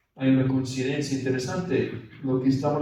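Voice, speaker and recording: A man with an ordinary speaking voice and a fairly high pitch talks at a fairly quick pace. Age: 60s. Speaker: priest leading a spiritual retreat. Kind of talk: retreat meditation talk. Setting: retreat for priests.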